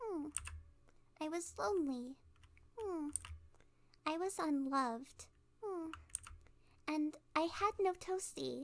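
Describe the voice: A woman puts on a high-pitched character voice with lively intonation, speaking at a slow pace with long, frequent pauses. The recording is very clean, the background silent.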